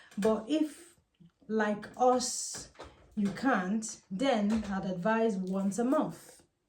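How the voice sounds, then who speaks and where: At a very slow pace, a woman speaks in a fairly high voice with ordinary pitch variation and audible room echo. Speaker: Ifa priestess and spiritual teacher. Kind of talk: casual spiritual advice monologue.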